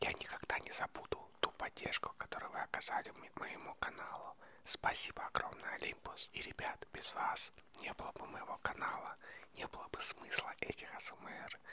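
Soft-spoken whispering at a moderate pace, dry with no echo, over light background noise. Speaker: ASMR creator. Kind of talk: soft-spoken ASMR talk to viewers. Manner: soft close-mic ASMR whisper. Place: home room. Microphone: handheld.

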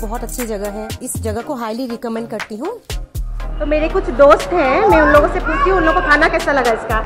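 The talking proceeds at a moderate speed. Clear music sounds behind it. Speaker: vlogger interviewing friends. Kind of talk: casual vlog chat. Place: cafe. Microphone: phone near.

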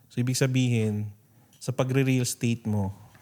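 On a very clean recording with a silent background, a man speaks at a moderate pace and medium pitch, his tone dark and mellow and his intonation monotone and flat. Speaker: podcast host and business coach. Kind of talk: interview and business advice talk.

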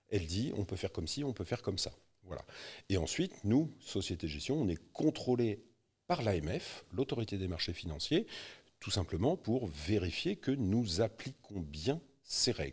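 Against a quiet background, a man with a fairly low pitch speaks at a fairly slow pace, somewhat breathy, with very wide pitch swings. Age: 50s. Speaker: real estate investment specialist; guest. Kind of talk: interview. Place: studio. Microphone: studio mic.

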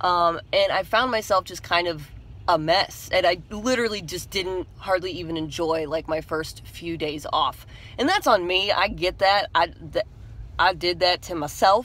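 The speech moves at a moderate pace with ordinary pitch variation, and the sound is dry with no echo. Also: woman, fairly low pitch for a woman. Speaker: vlogger. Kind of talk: casual vlog chat. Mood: candid, reflective, animated. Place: car. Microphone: phone near.

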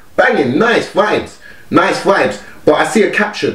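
A man talks at a moderate pace, and the room's echo is audible. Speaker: music reaction vlogger. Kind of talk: casual reaction commentary. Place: home room.

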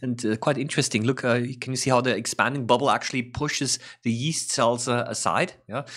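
In a quiet background, a man speaks at a fairly quick pace with fairly even intonation. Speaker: science educator. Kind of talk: tutorial commentary. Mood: calm, interested. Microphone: studio mic.

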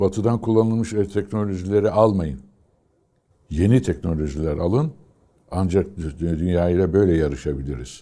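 A man speaks with a very deep, low pitch and a dark, mellow tone. His intonation is lively, broken by long, frequent pauses. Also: moderate pace, quiet background. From Turkey, Istanbul and Aegean region; Turkey. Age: 80s+. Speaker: retired fighter pilot. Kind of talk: oral history interview. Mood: calm, reflective. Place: home room. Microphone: lapel.

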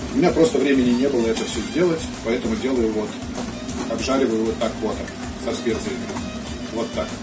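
A man talking at a fairly quick pace, music in the background. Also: ordinary pitch variation. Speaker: home cook vlogger. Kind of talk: tutorial. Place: kitchen. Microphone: phone near.

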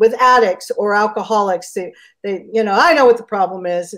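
A woman speaks with an American accent and fairly even intonation. The background is quiet. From Southern California, San Bernardino area; Southern California. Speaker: addiction counselor; interview guest. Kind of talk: casual interview. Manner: halting. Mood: warm, chatty. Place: home room. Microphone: video call.

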